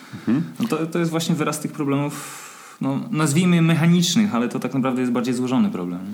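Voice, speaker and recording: A man talks at a very fast pace in a fairly high pitch, with very wide pitch swings. Noticeable background noise and audible room echo surround him. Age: 30s. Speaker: running coach. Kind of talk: casual chat.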